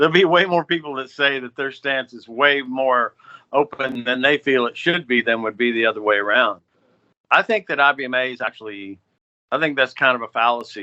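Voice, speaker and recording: The speaker has a plain, everyday voice. The pace is fairly quick, with lively intonation. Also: man. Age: 60s. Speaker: bluegrass musician. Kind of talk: podcast interview.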